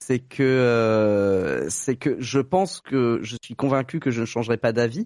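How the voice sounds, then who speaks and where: A man's medium-pitched voice at a very slow pace with hardly any pauses, ordinary pitch variation, and a dry, close, echo-free sound over a quiet background. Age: 30s. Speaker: guest sharing vasectomy experience. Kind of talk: testimony.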